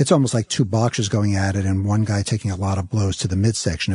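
A man with a fairly low pitch and a dark, mellow tone sounds somewhat breathy, recorded dry and close with no echo against a quiet background. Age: 50s. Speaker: TV interviewer. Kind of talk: interview. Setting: studio.

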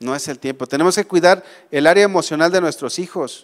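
The man talks with ordinary pitch variation. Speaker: preacher. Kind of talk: sermon. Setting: church.

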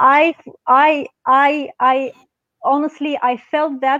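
A woman speaks with a Romanian accent. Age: young. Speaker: pharmacist and activist. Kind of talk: interview. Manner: halting.

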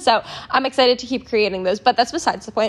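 A woman speaks with music in the background. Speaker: podcast host. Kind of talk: casual solo podcast monologue. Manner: unscripted, filler-heavy.

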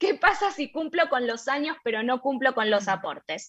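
A woman's high, projected voice with a bright, sharp tone and very wide pitch swings. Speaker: radio co-host. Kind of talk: casual chat.

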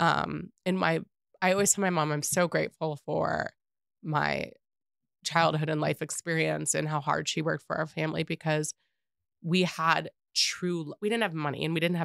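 An American accent with vocal fry and fairly even intonation, at a moderate pace, in a dry, close sound with no echo on a very clean recording with a silent background. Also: woman. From US South, Atlanta, Georgia. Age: 40s. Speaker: real estate agent. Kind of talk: casual chat. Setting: studio.

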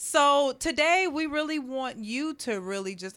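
With a plain, everyday voice, a woman talks at a fairly slow pace and with lively intonation. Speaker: podcast host. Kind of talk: casual chat.

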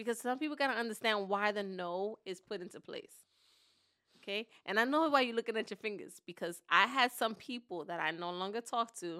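Bright and sharp in tone, a woman's fairly high voice sounds animated on a very clean recording with a silent background. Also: ordinary pitch variation, fairly quick pace. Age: 40s. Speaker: podcast co-host. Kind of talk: casual chat.

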